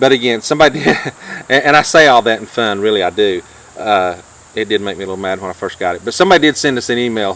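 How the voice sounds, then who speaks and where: A man with a North Georgia accent, fairly low pitch, lively intonation and a very fast pace, amid noticeable background noise. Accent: North Georgia country. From US South, North Georgia. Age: 50s. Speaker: YouTube vlogger. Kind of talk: casual chat.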